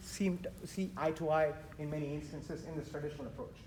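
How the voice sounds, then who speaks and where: With audible room echo and noticeable background noise, a man speaks fairly quickly in a fairly even intonation. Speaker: architect and VDC manager, panel speaker. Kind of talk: conference presentation. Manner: fast.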